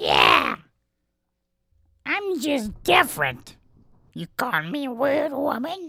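Raising and projecting her voice, a woman uses a high-pitched put-on character voice at a very slow pace with long, frequent pauses. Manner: defensive, offended.

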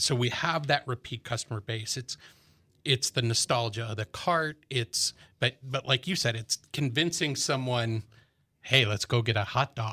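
A man with an American accent speaks in a plain, everyday voice at a moderate pace. His pitch is medium with ordinary variation, and the recording is very clean, silent, dry and close with no echo. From US Midwest, Chicago suburbs. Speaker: army veteran and business owner. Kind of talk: casual interview.

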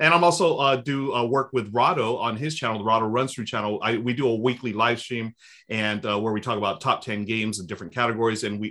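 Over a quiet background, a man talks fairly quickly in a plain, everyday voice at medium pitch with ordinary pitch variation. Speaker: board game streamer, guest. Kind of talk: casual interview chat.

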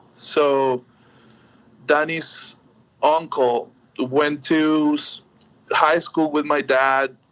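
A man with a Spanish accent, very slow delivery, long and frequent pauses, fairly high pitch, flat monotone intonation and very even loudness. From Venezuela, Caribbean coast (Puerto La Cruz). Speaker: musician. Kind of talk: interview. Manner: halting, many fillers.

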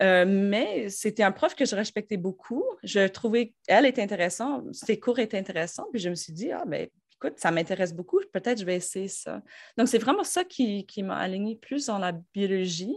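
Against a quiet background, a woman speaks at medium pitch and a moderate pace with ordinary pitch variation. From Quebec, north shore of Montreal. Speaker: university professor. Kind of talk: interview. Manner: hesitant, many fillers.

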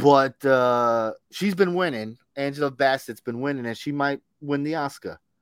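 At a fairly slow pace with hardly any pauses, a man with a fairly high pitch and an unremarkable speaking voice shows ordinary pitch variation, in a very clean recording with a silent background and a dry, close sound with no echo. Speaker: podcast co-host. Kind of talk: casual chat. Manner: laughs often.

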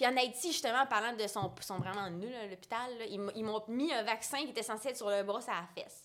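A woman talks at a fairly quick pace with hardly any pauses. Her pitch is fairly high, with ordinary variation. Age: 20s. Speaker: visual artist and entrepreneur. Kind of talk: casual interview.

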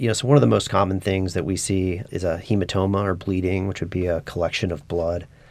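Over a very clean recording with a silent background, a man with an American accent talks very fast, with hardly any pauses. His voice is very deep and low, with ordinary pitch variation. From Kansas (Wichita). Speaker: plastic surgeon. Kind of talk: interview.

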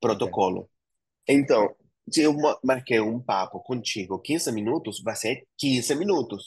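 Against a quiet background, a man with a Spanish accent talks at a fairly slow pace with lively intonation. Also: medium pitch for a man. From Argentina, Buenos Aires province. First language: Spanish (speaking Portuguese). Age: 40s. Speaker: entrepreneur. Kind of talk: interview.

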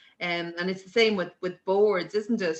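The speaker is a woman. She has an Irish accent. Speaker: sports governing body executive. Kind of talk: casual chat. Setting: video call.

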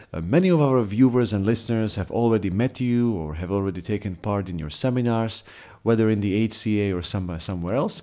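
With a Slovak accent, a man speaks at a fairly quick pace and fairly low pitch, his dark, mellow tone showing ordinary pitch variation on a very clean recording with a silent background. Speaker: podcast host. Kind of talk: interview.

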